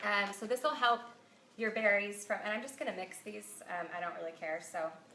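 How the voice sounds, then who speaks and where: A woman speaks at a medium pitch and a fairly quick pace with lively intonation, with noticeable background noise behind her. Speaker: cookbook author and food blogger. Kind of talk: cooking tutorial livestream. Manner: casual, many filler ums.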